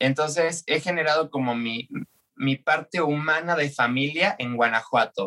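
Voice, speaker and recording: Bright and sharp in tone, a man speaks at a fairly slow pace with fairly even intonation in a dry, close recording with no echo. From Argentina. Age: 30s. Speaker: drag performer and dance teacher. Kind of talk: interview testimony.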